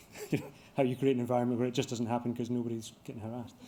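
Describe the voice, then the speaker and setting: A man at a medium pitch with a dark, mellow tone, talking at a very fast pace amid audible room echo. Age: 50s. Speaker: construction company executive. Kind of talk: conference Q&A talk. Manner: halting, many fillers and restarts.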